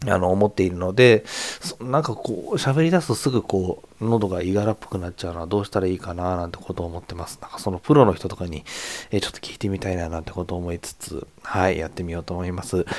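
Very fast and with big swings in loudness, a man speaks at a very deep, low pitch with ordinary pitch variation. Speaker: novelist hosting a solo podcast. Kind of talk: casual solo talk. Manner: halting, many fillers.

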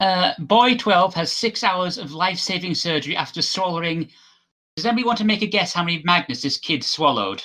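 A man speaks at a fairly quick pace in a high, bright and sharp voice, with ordinary pitch variation. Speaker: podcast guest, show patron. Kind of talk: casual chat.

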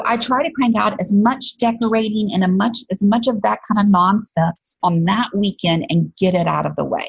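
In an American accent, a woman speaks at medium pitch and a moderate pace, with ordinary pitch variation, very even loudness, hardly any pauses, and a dry, close sound with no echo. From Alabama, US South. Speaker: podcast host and career coach. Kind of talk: casual monologue podcast.

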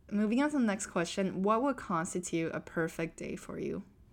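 A plain, everyday voice at a moderate pace. The recording is very clean, with a silent background. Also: woman. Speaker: software engineer and podcast host. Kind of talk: casual chat.

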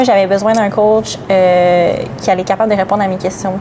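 A woman at a moderate pace with fairly even intonation, amid noticeable background noise. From Gaspésie, Quebec. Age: 20s. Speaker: bodybuilding athlete. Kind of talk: podcast interview.

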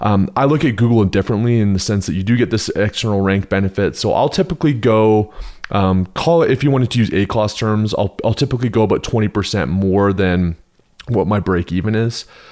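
An unremarkable speaking voice moves at a fairly quick pace with ordinary pitch variation. The loudness stays very even throughout. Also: man, fairly low pitch for a man. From Canada. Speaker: Amazon advertising seller/consultant. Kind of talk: podcast interview. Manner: casual, with frequent fillers.

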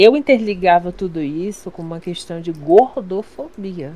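Noticeable background noise runs under a woman's voice. She has a fairly low pitch and talks at a moderate pace. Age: young. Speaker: streamer. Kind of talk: casual chat.

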